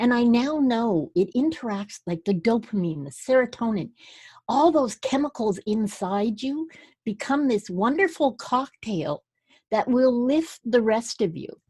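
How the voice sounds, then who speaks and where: A woman talks at a fairly high pitch and a fairly slow pace, with very wide pitch swings. The sound is dry and close with no echo, against a quiet background. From Scotland. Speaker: comedian and speaker. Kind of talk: interview conversation.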